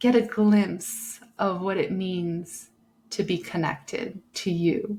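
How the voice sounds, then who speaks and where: A woman's calm, somewhat breathy tone at a very slow pace. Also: medium pitch for a woman, ordinary pitch variation. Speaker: breathwork and meditation guide, podcast host. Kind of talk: guided meditation instruction. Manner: slow, calm, instructive.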